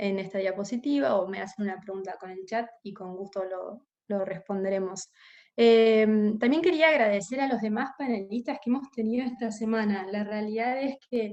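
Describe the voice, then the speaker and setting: A woman with a fairly high voice speaks at a moderate pace with ordinary pitch variation. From Argentina. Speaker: corporate investigations specialist, webinar panelist. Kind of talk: webinar presentation. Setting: online webinar. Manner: hesitant, many filler sounds.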